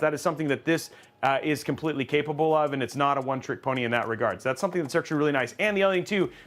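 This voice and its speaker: A man with a fairly high pitch and ordinary pitch variation. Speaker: tech livestream host. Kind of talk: live PC build stream. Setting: live stream with co-hosts. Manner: fast; casual, many fillers.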